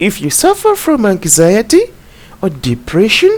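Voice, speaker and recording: Someone with a non-native accent talks at a fairly slow pace. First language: not English. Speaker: self-help video host. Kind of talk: motivational talk, partly reading. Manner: halting, with fillers.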